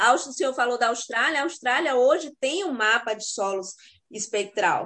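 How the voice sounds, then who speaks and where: With lively intonation, a woman speaks at a moderate pace in a high pitch. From Brazil, sertão of Bahia. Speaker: university professor. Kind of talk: online live panel discussion.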